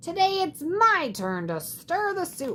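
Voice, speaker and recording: An extremely high, put-on character voice speaks at a fairly slow pace. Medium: read story.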